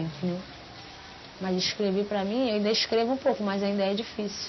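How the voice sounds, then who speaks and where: A woman speaks with fairly even intonation. Music can be heard in the background. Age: 20s. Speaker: adult literacy student. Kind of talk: documentary interview.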